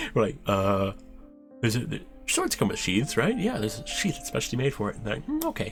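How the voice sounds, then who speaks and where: Over music in the background, a soft-spoken man talks at a fairly quick pace. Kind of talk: ASMR casual rambling talk.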